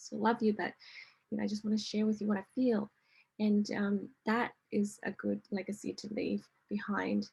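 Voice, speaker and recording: At a moderate pace, a woman speaks with medium pitch and a somewhat breathy voice. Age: 50s. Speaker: wellness coach and presenter. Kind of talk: online workshop presentation. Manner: hesitant, many fillers.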